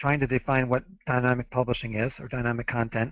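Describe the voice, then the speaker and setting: Speaking at a fairly quick pace, a man uses a medium-pitched voice. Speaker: content management consultant. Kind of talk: webinar presentation. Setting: online webinar. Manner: fast; halting, many fillers.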